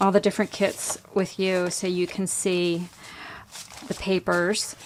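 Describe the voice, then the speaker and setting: A woman speaks at a medium pitch and a fairly slow pace, her intonation monotone and flat. Noticeable background noise sits behind her. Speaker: crafter and online shop owner. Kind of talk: product showcase tutorial. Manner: casual with frequent fillers.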